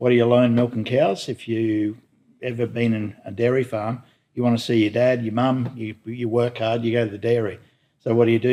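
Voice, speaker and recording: A man with an Australian accent, fairly quick in pace and monotone, flat in intonation, on a very clean recording with a silent background. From Newcastle, New South Wales, Australia. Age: 60s. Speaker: boat company executive. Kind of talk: interview. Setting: boat works garage.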